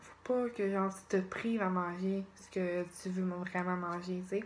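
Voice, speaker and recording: Her pitch is medium as the woman speaks in a Quebec accent. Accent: Québécois French. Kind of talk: casual vlog talk to camera. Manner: hesitant, searching for words.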